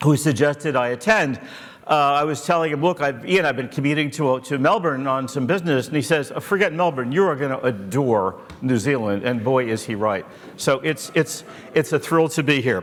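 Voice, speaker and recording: Against noticeable background noise, a man with an American accent talks fairly quickly in a fairly high voice with ordinary pitch variation. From USA. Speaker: angel investor, keynote speaker. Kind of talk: conference keynote.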